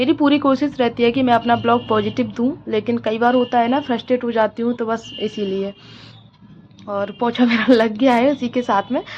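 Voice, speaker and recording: A woman with a somewhat high voice speaks at an even tempo and a mostly level intonation while clear background noise plays. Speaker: housewife vlogger. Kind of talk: casual vlog monologue.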